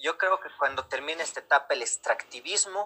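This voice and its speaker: A man talking at a moderate pace. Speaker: political activist. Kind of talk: interview.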